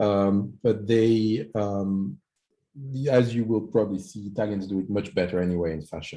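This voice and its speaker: A man speaks with a French accent at a moderate pace. His fairly low voice has a dark, mellow tone and ordinary pitch variation. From France. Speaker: startup executive pitching. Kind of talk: startup pitch. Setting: video call.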